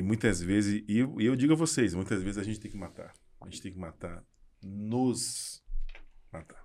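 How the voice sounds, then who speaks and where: Over a silent background in a very clean recording, a man speaks at a moderate pace and fairly low pitch. His pitch varies ordinarily, and he takes long, frequent pauses. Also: big swings in loudness. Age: 50s. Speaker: architect and entrepreneur. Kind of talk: casual chat. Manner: halting, repeats words.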